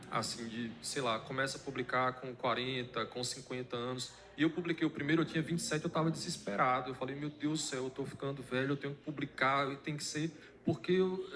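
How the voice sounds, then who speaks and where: Fairly quick and fairly even in intonation, a man speaks at a fairly high pitch. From Bahia, Brazil (Irecê). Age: 30s. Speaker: author, poet. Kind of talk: interview. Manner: hesitant, many fillers.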